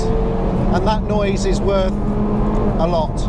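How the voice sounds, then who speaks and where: A man against loud background noise, the sound dry with no echo. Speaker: car reviewer. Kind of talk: car review commentary. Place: car.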